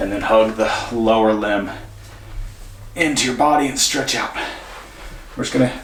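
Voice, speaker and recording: With audible room echo and noticeable background noise, the speech runs at a moderate pace and keeps a fairly even intonation. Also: man. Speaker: mobility and fitness instructor. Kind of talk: follow-along exercise tutorial. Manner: casual, chatty; speaking louder than usual. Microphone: room echo, poor acoustics.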